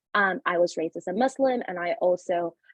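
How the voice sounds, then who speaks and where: A woman talks at medium pitch with a Spanish accent. Her pace is fairly quick. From Panama. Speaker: panelist, early career researcher. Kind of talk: webinar panel introduction.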